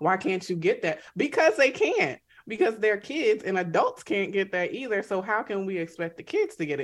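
A woman talks at a moderate pace. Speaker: psychiatrist. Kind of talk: radio interview. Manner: mellow.

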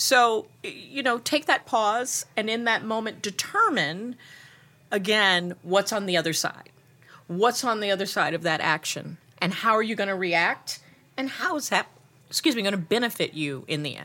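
Animated and lively in intonation, a woman speaks at a moderate pace with a bright, sharp tone and a fairly high pitch. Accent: American. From Ohio, Cleveland area (Shaker Heights). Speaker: media agency CEO. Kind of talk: casual interview. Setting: conference lounge.

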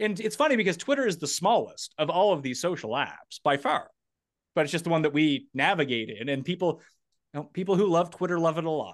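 Talking very fast, a man uses a high voice with lively intonation. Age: 30s. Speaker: fantasy sports analyst. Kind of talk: casual chat.

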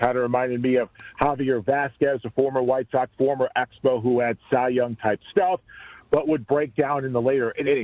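A man talks in a normal speaking voice at medium pitch. His intonation is fairly even and his pace moderate. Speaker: play-by-play announcer. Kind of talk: casual sports betting chat.

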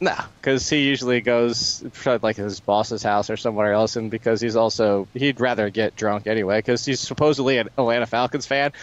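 With an ordinary speaking voice, a man talks at a fairly quick pace, his medium pitch carried on fairly even intonation. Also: hardly any pauses. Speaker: radio co-host. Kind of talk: casual banter. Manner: relaxed, jokey.

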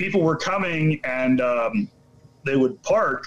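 Amid noticeable background noise, a man speaks in a fairly high pitch with ordinary pitch variation. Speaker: brewer. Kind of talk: casual interview chat.

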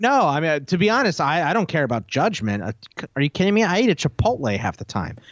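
The voice moves at a very fast pace with vocal fry. Its pitch swings very widely. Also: man, fairly high pitch for a man. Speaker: fantasy football radio co-host. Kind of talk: casual sports talk radio chat. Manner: casual, joking.

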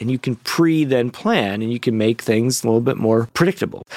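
A man with an American accent talks at a fairly quick pace. The recording is very clean and silent in the background, with a dry, close sound and no echo. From US Midwest (Indiana, Illinois), partly Texas. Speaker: urologic cancer surgeon. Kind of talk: interview storytelling.

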